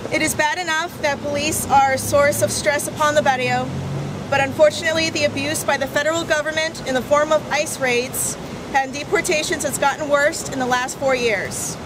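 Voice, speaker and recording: A woman's high-pitched voice is accompanied by noticeable background noise. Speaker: community activist. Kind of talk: prepared speech read aloud at a public assembly. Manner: formal.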